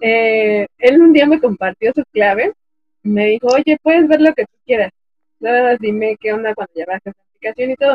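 Lively intonation at a moderate pace, big swings in loudness, and music in the background. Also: woman, fairly high pitch for a woman. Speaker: podcast co-host. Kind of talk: casual chat. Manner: speaking as loudly as she can. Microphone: low volume, technical problems.

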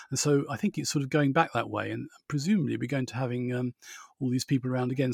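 Talking very fast with a southern English accent, a man holds a medium pitch and fairly even intonation in a dry, close sound with no echo. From Borehamwood, Hertfordshire, England. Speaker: podcast host. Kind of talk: casual chat.

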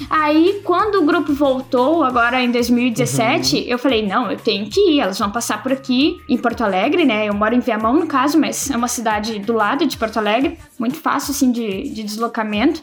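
A woman with a high pitch speaks at a moderate pace with lively intonation and hardly any pauses. Noticeable background noise is present. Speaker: podcaster. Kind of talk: casual chat. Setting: online call.

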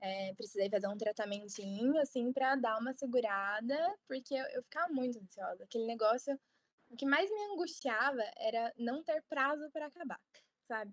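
The sound is dry and close, with no echo. A woman speaks in a high pitch with lively intonation. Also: moderate pace. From Paraná, Brazil (Ponta Grossa). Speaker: medical student. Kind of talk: interview.

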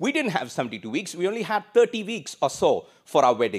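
A man speaks at a fairly quick pace with very wide pitch swings. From India. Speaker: pastor. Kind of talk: sermon. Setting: church service streamed online.

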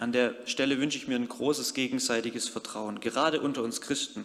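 The man speaks at a moderate pace, with audible echo from the room. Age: 30s. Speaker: youth worker and lay preacher. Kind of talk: sermon.

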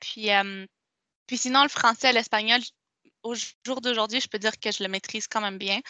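A woman's bright, sharp voice with fairly even intonation sounds dry and close with no echo, against a quiet background. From Quebec, Montreal. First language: Spanish (speaking French). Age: 20s. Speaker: interviewee sharing life story. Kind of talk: testimony. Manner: halting, many repetitions and fillers.

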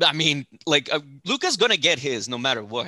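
Bright and sharp in tone, a man's fairly high voice moves at a moderate pace, with a dry, close sound, no echo and a quiet background. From El Paso, Texas. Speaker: podcast host. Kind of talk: casual chat. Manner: animated.

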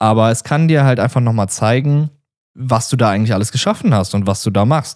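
Over a silent background in a very clean recording, a man talks fairly quickly with lively intonation. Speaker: podcast host. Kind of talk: solo podcast monologue. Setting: standing while recording. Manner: casual, filler-heavy; stumbling.

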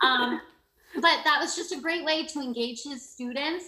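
At a fairly quick pace, a woman with a high pitch speaks in a raised, projected voice. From Canada. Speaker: education program coordinator, former teacher. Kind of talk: interview.

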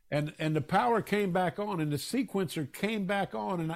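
In a very clean recording with a silent background, a man with an American accent speaks in a high pitch with lively intonation. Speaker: drummer. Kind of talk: interview.

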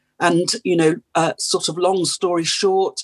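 In a dry, close sound with no echo, a woman with a British accent speaks at a fairly low pitch with monotone, flat intonation. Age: 60s. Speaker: addiction and trauma therapist. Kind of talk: interview. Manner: hesitant, many fillers.

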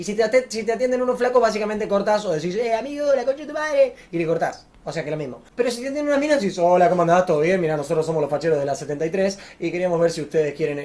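In a Rioplatense accent, a man with a high pitch talks very fast with hardly any pauses, very wide pitch swings and an animated tone. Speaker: YouTuber. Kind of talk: casual storytelling to camera.

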